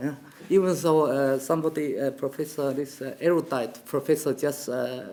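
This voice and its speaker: A man speaks with a Chinese accent. His pitch is fairly high. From China. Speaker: professor. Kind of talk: academic conference talk. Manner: halting, many fillers; slow.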